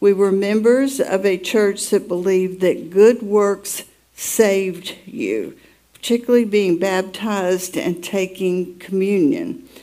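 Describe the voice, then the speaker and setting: Very slow, lively speech from a woman at medium pitch, in an American accent. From US South, Atlanta, Georgia. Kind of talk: testimony.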